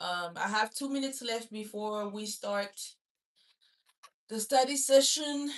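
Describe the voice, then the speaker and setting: A woman's fairly high voice with a French accent and ordinary pitch variation, fairly slow and broken by long, frequent pauses. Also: big swings in loudness. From Gabon. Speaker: student livestreamer. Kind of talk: casual chat. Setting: livestream.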